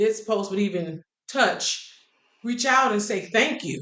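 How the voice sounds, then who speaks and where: A woman with an ordinary speaking voice talks at a fairly slow pace. Her pitch is medium. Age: 50s. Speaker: singer. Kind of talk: interview.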